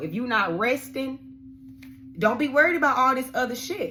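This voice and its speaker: A woman speaks with lively intonation. Noticeable background noise runs under her voice. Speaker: tarot card reader. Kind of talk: tarot reading. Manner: fast; animated.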